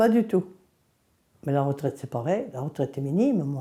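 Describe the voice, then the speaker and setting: This woman's voice has a dark, mellow tone and very wide pitch swings. The recording is very clean, with a silent background. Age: 80s+. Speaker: farmer. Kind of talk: testimony. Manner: halting, with hesitations.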